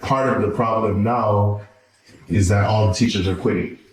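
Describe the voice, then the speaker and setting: A man with a fairly low pitch at a moderate pace, with noticeable background noise and audible room echo. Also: very even loudness. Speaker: podcast co-host. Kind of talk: casual chat.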